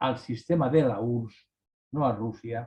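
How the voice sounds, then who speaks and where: A somewhat breathy man with a dark, mellow tone and ordinary pitch variation. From Spain, Valencia region. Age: 60s. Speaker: writer. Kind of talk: casual chat. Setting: video call. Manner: halting.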